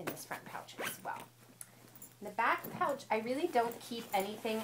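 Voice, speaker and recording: The loudness rises and falls sharply, with noticeable background noise throughout. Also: woman, fairly high pitch for a woman, lively intonation, moderate pace. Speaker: mom vlogger. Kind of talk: casual talk to camera.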